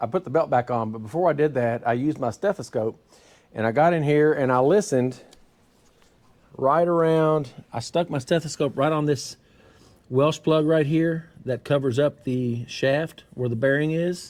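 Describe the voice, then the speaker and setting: A man with a fairly high voice keeps a moderate pace and ordinary pitch variation. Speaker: car mechanic youtuber. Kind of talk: tutorial. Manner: loud.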